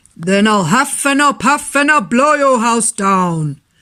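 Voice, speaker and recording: A man slips into a put-on character voice, pitched extremely high and delivered at a fairly slow pace. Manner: threatening.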